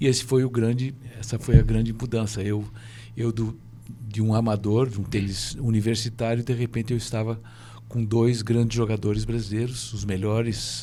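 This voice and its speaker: A man speaks in a monotone with flat intonation. His pitch sits in the medium range. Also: moderate pace. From Brazil. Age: 70s. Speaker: former pro tennis player, tennis coach. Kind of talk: podcast interview. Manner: halting, many repetitions.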